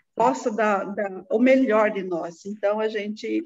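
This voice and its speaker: Ordinary pitch variation marks a woman's fairly high voice. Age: 60s. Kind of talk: interview. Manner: halting.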